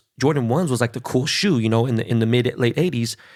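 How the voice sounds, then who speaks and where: Recorded very cleanly over a silent background, a man speaks in an animated tone at a medium pitch and a very fast pace. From Los Angeles, Koreatown. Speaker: podcast host. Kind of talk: casual interview chat.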